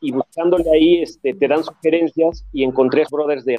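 A man with an ordinary speaking voice talks at a moderate pace, his fairly high pitch kept in fairly even intonation. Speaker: music fan guest. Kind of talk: casual chat.

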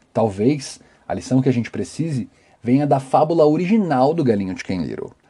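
A man's dark, mellow voice with lively intonation. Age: 20s. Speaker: podcast host. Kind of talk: solo commentary podcast. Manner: talkative.

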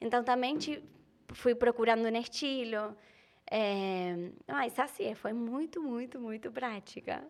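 Speaking at a very slow pace in an Argentine accent, a woman has a fairly high pitch and ordinary pitch variation in a very clean recording with a silent background. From Argentina. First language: Spanish (speaking Portuguese). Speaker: content creator. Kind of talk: casual chat.

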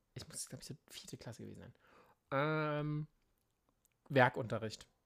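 The voice shows big swings in loudness and leaves long, frequent pauses. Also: man. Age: 30s. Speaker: podcast co-host. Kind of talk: casual chat. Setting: remote recording.

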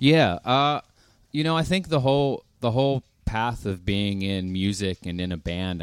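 On a very clean recording with a silent background, a man with an American accent uses a normal speaking voice, lively intonation and a fairly slow pace. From US, Pittsburgh. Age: 30s. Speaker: rock band lead singer. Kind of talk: casual chat. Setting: live stage with audience.

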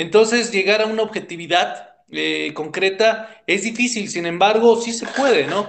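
Pitched high for a man, his voice moves with ordinary variation at a fairly slow pace. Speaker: psychologist and cultural researcher. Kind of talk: casual interview. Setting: call.

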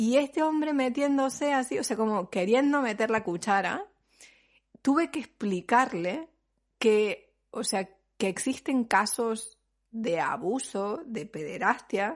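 Against a quiet background, a woman speaks at a very slow pace with a fairly high pitch and lively intonation. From Argentina. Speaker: podcast host, mother and pregnancy professional. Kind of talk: casual chat.

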